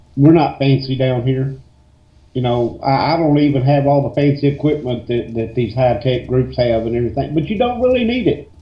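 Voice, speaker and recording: Somewhat breathy, a man in a Southern accent talks at a fairly quick pace with fairly even intonation. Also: medium pitch for a man. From west Tennessee. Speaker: paranormal investigator. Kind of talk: casual radio interview.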